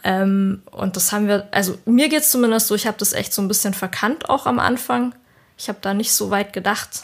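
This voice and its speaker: With a plain, everyday voice, a woman of medium pitch talks at a fairly quick pace and with lively intonation. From southern Germany. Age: 30s. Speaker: layout designer. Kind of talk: casual chat.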